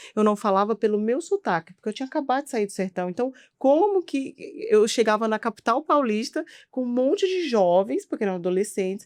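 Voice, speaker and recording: Using very wide pitch swings, a woman talks at a fairly quick pace, the sound dry and close with no echo over a quiet background. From Brazilian Northeast, rural Piauí. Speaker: physician. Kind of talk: interview conversation.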